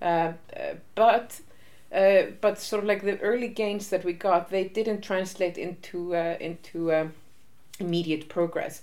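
Fairly slow delivery with fairly even intonation. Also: woman, medium pitch for a woman. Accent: Icelandic. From Iceland. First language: Icelandic. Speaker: interviewee on feminist history. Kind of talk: interview.

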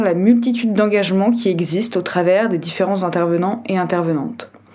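The speech runs at a moderate pace with ordinary pitch variation, amid noticeable background noise and audible room echo. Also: woman. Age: 20s. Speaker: podcast host, NGO advocacy officer. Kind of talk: scripted podcast introduction monologue.

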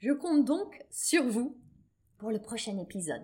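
Her voice, a woman's with a fairly high pitch, has a dark, mellow tone and very wide pitch swings. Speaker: business coach and podcast host. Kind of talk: solo podcast monologue. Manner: lower energy than usual.

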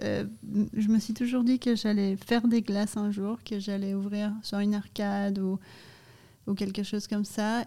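The voice has a dark, mellow tone and moves fairly slowly in a monotone, flat intonation. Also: woman, medium pitch for a woman. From Canada and Brazil. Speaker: ice cream company co-founder. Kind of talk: casual interview. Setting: studio in a cellar.

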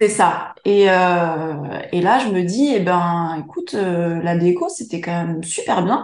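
At a very slow pace with hardly any pauses, a woman speaks at a fairly low pitch with ordinary pitch variation. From France, Charente. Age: 30s. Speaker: interior decorator and entrepreneur. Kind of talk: interview. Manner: hesitant, many fillers.

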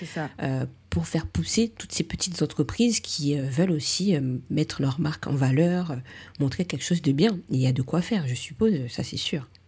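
A woman with a very deep, low voice and a dark, mellow tone. She sounds somewhat breathy, with lively intonation. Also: moderate pace. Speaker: beauty podcast host, beautician. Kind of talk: casual interview chat.

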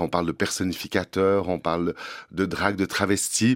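A man talks in a very deep, low voice. The sound is dry and close with no echo, on a very clean recording with a silent background. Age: 50s. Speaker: drag performer and prevention worker. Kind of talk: interview. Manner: halting.

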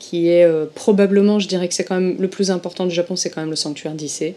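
A woman with an ordinary speaking voice talks at a fairly quick pace, her pitch fairly low and her intonation fairly even. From southern France, Marseille. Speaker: former Japanese shrine worker, Shinto expert. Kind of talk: interview conversation. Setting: remote call from Tokyo.

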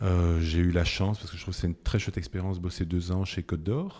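On a very clean recording with a silent background, a man speaks with a very deep, low pitch and a dark, mellow tone. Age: 50s. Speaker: entrepreneur, supermarket co-founder. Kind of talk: interview. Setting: in a shop.

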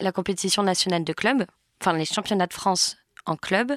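Recorded very cleanly against a silent background, a woman speaks in a fairly low voice with ordinary pitch variation. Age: 20s. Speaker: former figure skater, communications manager. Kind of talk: interview. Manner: hesitant, many fillers.

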